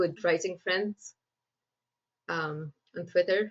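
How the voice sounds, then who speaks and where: A woman's medium-pitched voice moves very slowly, its intonation fairly even. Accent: Egyptian. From Egypt. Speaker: screenwriter. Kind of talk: interview.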